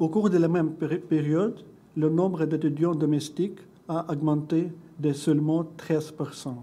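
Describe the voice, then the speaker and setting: With a non-native accent, a man speaks at a fairly high pitch in a dark, mellow tone, his intonation fairly even against audible room echo. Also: fairly slow pace. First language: not French (speaking French). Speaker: education researcher and doctoral student. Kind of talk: conference presentation. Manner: halting, with self-corrections.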